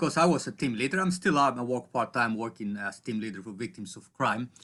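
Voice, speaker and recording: With a Greek accent, a man at a medium pitch talks at a fairly quick pace with lively intonation. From Greece. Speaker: psychologist and coach. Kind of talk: interview. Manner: halting.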